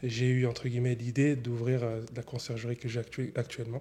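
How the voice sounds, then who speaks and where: A man's somewhat breathy voice, medium in pitch, with a dark, mellow tone, monotone and flat intonation, and a moderate pace. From France, Annemasse area (Haute-Savoie). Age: 20s. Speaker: entrepreneur, concierge business owner. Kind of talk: interview. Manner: hesitant, many fillers.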